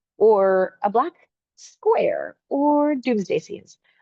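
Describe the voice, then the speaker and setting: A woman speaks in a Boston accent. Her pitch swings very widely. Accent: Boston American English. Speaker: game designer. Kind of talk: online presentation.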